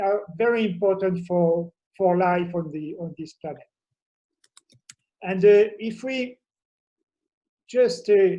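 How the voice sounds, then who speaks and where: Speaking very slowly with long, frequent pauses, a man with a French accent uses a high pitch, a dark, mellow tone, ordinary pitch variation and big swings in loudness. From France. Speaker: professor. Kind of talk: conference talk. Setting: remote video presentation from home. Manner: halting, many fillers.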